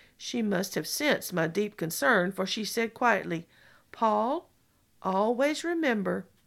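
The passage is read aloud in a natural voice.

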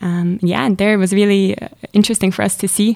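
A woman's dark, mellow voice at medium pitch, fairly quick, with monotone, flat intonation and a German accent. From Switzerland, Zurich. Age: 20s. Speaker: student leader. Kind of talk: interview.

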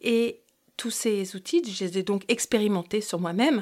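A woman at a fairly slow pace, medium pitch and ordinary pitch variation, on a very clean recording with a silent background. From New York and Brittany, France. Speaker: naturopath and hypnotherapist, podcast host. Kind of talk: podcast monologue. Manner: hesitant, many fillers.

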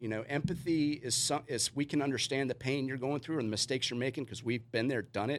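Very fast speech in an American accent, with fairly even intonation. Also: man. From US South, Richmond, Virginia. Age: 40s. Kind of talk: podcast interview. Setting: studio.

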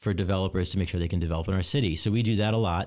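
A man's very deep, low voice with an American accent and fairly even intonation. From US Northeast (Long Island, New York). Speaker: city mayor. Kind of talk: interview. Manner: halting, many fillers and repetitions.

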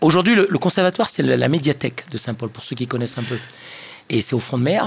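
In a Réunion accent, a man talks at a very fast pace broken by long, frequent pauses. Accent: Reunionese French. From Réunion Island. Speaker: session musician. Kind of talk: casual chat.

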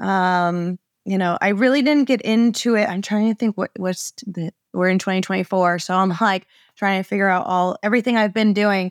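A woman with an American accent and a normal speaking voice talks at a moderate pace with medium pitch and fairly even intonation, dry and close with no echo, on a very clean recording with a silent background. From Maine, US. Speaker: small business owner, sign designer. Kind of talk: interview, casual chat.

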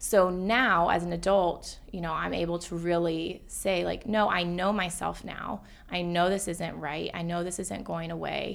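In an American accent, the voice moves at a fairly slow pace with hardly any pauses and fairly even intonation, carrying audible room echo. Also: woman, fairly low pitch for a woman. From US South, Atlanta. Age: 20s. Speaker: therapist and patient sharing her story. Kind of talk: casual interview.

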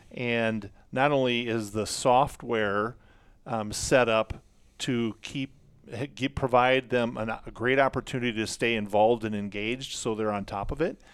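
The recording is very clean, with a silent background. A man with an ordinary speaking voice talks fairly slowly at a medium pitch. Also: fairly even intonation. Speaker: outfitter company staff. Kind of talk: casual chat. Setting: studio.

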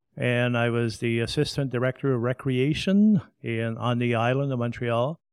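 A man talks at a medium pitch with ordinary pitch variation, in a dry, close sound with no echo. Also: very clean recording, silent background. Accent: French Canadian. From Quebec. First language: French. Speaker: museum curator and tour guide. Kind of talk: interview. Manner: formal.

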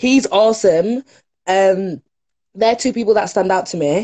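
A woman's somewhat breathy, dark, mellow voice in a Yorkshire accent, fairly slow, with a dry, close sound with no echo. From northern England (Leeds). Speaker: TV presenter and production worker. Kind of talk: casual chat. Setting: video call.

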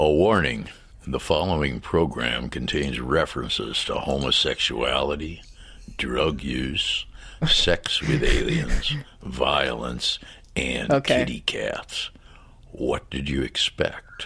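Using a raspy, put-on character voice, a man speaks at a fairly slow pace over light background noise. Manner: drawling warning announcement.

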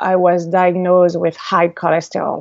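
A woman's medium-pitched voice with a slight French accent. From France. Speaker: entrepreneur. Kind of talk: interview. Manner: halting, many fillers.

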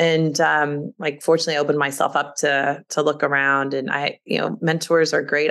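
Over a quiet background, a woman with a very deep, low pitch talks at a fairly quick pace. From Kentucky, Louisville. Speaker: automotive industry executive. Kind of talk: interview, casual chat. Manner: animated.

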